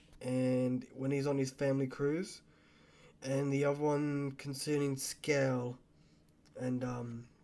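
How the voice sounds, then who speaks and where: Soft-spoken and very slow, a man with a fairly high pitch and a dark, mellow tone keeps a monotone, flat intonation at very even loudness, leaving long, frequent pauses. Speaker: book reviewer. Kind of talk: casual book review vlog. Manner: halting.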